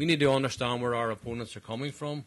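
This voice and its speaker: A man of medium pitch with a Belfast accent. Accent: Belfast Northern Irish. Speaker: politician. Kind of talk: conference speech. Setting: conference panel with audience. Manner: formal.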